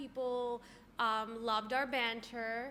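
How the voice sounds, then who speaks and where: A woman speaks with a raised, projected voice. Her pitch is high and her tone bright and sharp. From Canada. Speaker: podcast co-host. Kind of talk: casual chat.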